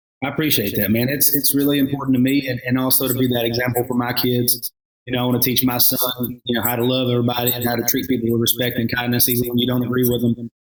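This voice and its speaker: At a very fast pace, a man talks with hardly any pauses and very even loudness. His medium-pitched voice stays monotone and flat. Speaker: singer and reality show contestant. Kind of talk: casual interview chat.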